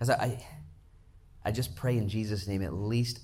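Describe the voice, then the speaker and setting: A man speaks in an animated, somewhat breathy voice, with audible room echo around him. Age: 40s. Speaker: pastor. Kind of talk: sermon.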